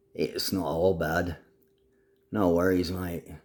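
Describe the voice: Using a raspy put-on character voice, a man speaks at a fairly slow pace with very deep, low pitch and monotone, flat intonation.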